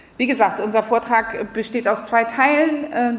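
Someone talks at a very slow pace over noticeable background noise. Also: woman. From France. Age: 40s. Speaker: environmental activist. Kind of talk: lecture.

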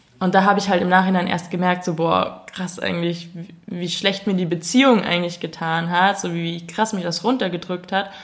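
A woman with an ordinary speaking voice talks at a moderate pace, fairly low in pitch with fairly even intonation. She takes hardly any pauses. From Munich, Bavaria. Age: 20s. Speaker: YouTuber making comedy videos. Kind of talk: casual chat.

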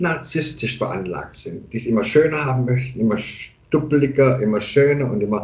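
A somewhat breathy man speaks with lively intonation amid audible room echo. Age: 50s. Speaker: barber and hairdresser. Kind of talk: casual chat.

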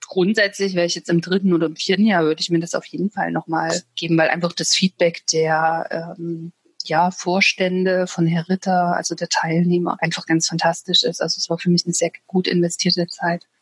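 Recorded with a dry, close sound and no echo, a woman speaks at a moderate pace and a fairly low pitch in a monotone, flat intonation, with hardly any pauses. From Thuringia, Germany. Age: 30s. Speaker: financial advisor. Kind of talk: interview. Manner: hesitant fillers.

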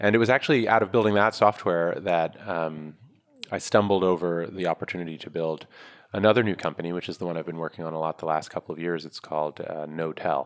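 A man speaks very fast with a New York accent in a very deep, low voice. His pitch varies in an ordinary way while his loudness swings widely. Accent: New York American. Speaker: startup founder and investor. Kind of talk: interview.

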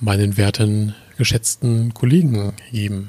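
The man's voice is somewhat breathy, with a dark, mellow tone. He talks at a very slow pace. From northern Germany. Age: 20s. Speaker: podcast co-host. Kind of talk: casual chat.

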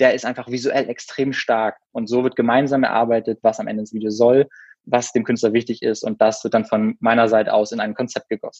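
A man speaks fairly quickly in a monotone, flat intonation, recorded with a dry, close sound and no echo. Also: medium pitch for a man. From Berlin, Germany. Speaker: former circus performer and videographer. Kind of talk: podcast interview.

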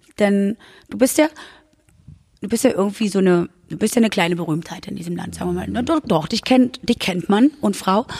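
A woman with a medium-pitched voice and some vocal fry talks at a fairly quick clip with lively intonation, long and frequent pauses, and big swings in loudness, in a dry, close sound with no echo. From Berlin-Brandenburg. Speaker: podcast host. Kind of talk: interview.

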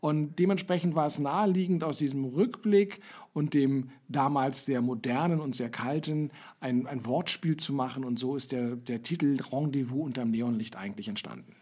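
The very clean recording, with a silent background, captures a man with fairly high pitch and a dark, mellow tone. He speaks at a moderate pace with ordinary pitch variation. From West Berlin. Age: 50s. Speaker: podcast host, marketing lecturer. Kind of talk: casual chat.

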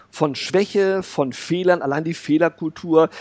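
A man with a high pitch is heard in a dry, close sound with no echo. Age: 50s. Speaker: communications consultant and speaker. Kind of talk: interview conversation.

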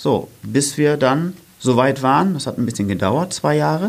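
At a moderate pace, a man with a medium pitch speaks with vocal fry and very wide pitch swings. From northern Germany, Oldenburg. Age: 30s. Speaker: running coach and fitness trainer. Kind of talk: casual interview chat. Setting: studio.

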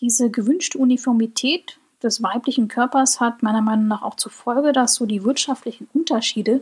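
A woman speaks in a normal speaking voice, her fairly high pitch carrying fairly even intonation at a moderate pace. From Germany. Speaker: podcast host. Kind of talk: solo podcast monologue.

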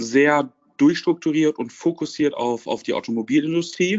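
This man's voice sits fairly high in pitch, with ordinary pitch variation. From Lower Rhine region, Germany. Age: 20s. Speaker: car dealership trainee and business student. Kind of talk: interview.

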